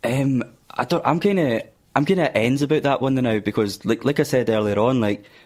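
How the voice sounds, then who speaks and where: A man with a Scottish accent speaks at a fairly quick pace in a medium pitch, his intonation lively. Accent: Scottish (Fife). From Scotland, Fife (Glenrothes). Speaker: guitarist in an unsigned band. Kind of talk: radio interview. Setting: radio studio.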